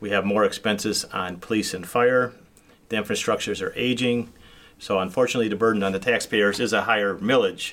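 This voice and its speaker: Fairly quick in pace and fairly low in pitch, a man has an unremarkable speaking voice with fairly even intonation. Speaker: city council member. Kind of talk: casual interview.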